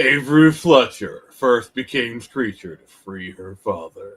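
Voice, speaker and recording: A man in a put-on character voice, dramatic in tone, at a fairly slow pace. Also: medium pitch for a man. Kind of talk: trailer narration. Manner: dramatic, portentous.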